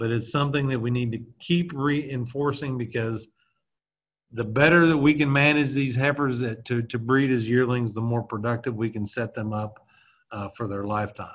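Medium pitch, ordinary pitch variation and a moderate pace from a man with a plain, everyday voice. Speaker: university reproductive physiologist, extension specialist. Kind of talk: educational webinar lecture. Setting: video call.

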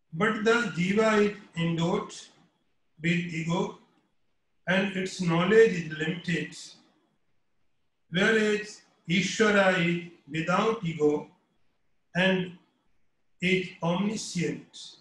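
A man with a high voice speaks at a very slow pace, leaving long, frequent pauses. There is audible room echo. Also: fairly even intonation. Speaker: spiritual teacher. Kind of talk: lecture. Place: home room. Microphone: webcam.

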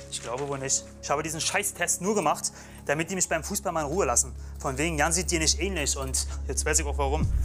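A man speaks at a very fast pace while clear music plays in the background. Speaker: actor in scripted reality show. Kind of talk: scripted drama dialogue. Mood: angry, bitter. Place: home room.

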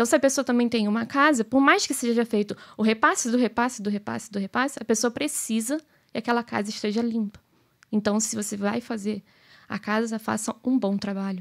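A woman with a plain, everyday voice talks at a fairly quick pace in a fairly high pitch, with ordinary pitch variation over a quiet background. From Brazil. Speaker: business owner; podcast guest. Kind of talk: casual chat. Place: studio. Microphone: studio mic.

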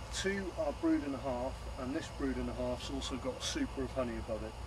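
A man speaks over noticeable background noise. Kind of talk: tutorial. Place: garden. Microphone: camera far.

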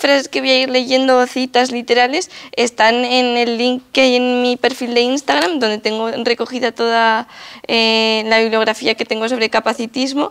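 The background is quiet. A woman speaks in a high voice. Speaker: activist and lecturer; lecturer. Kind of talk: lecture. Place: hall.

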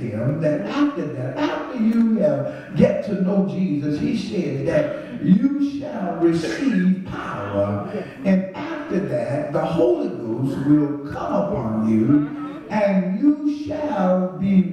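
A man speaks at a very slow pace. There is strong room echo and light background noise. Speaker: pastor. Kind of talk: sermon. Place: church.

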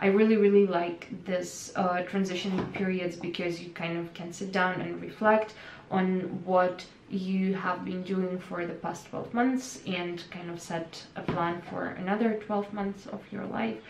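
Audible room echo and light background noise surround a woman's voice. She speaks at a fairly slow pace with fairly even intonation. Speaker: vlogger. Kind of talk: casual vlog chat. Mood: calm, reflective. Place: home room.

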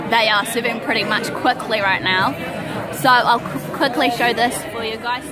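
A woman's voice over music in the background, dry with no echo. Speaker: vlogger. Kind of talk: casual vlog chat. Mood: cheerful, relaxed. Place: bar. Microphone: phone near.

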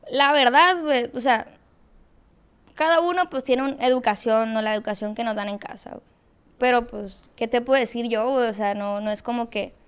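A woman speaks at a high pitch. Her pitch varies in an ordinary way. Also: moderate pace. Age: 20s. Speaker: social media content creator. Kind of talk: casual interview chat. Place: studio. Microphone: studio mic.

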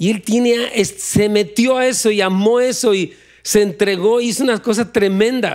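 A man's high-pitched voice over a quiet background. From Mexico. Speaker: pastor; pastor preaching. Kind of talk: sermon. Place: church. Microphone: handheld.

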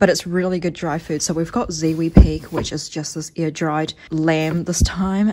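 In a normal speaking voice, a woman with a fairly low pitch speaks at a fairly slow pace with fairly even intonation, over light background noise. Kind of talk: casual vlog chat. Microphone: phone near.

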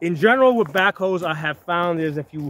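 A man talks at a moderate pace. The sound is dry with no echo. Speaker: tractor owner. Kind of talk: casual explanatory vlog talk. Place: open country. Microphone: phone near.

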